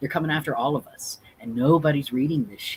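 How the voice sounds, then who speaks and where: A man with a fairly high, somewhat breathy voice speaks in an animated tone at a moderate pace. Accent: American. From Texas. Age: 30s. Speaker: drag performer and activist. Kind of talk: livestream commentary. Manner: emotional, animated.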